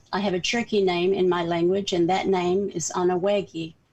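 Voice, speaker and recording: Here a woman speaks in a Southern accent. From US South, northeastern Oklahoma. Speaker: community organizer. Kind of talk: talk.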